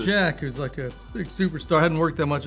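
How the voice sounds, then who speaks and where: Music plays behind a man with an American accent. He talks very fast with lively intonation. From Boston. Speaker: actor. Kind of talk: interview answer.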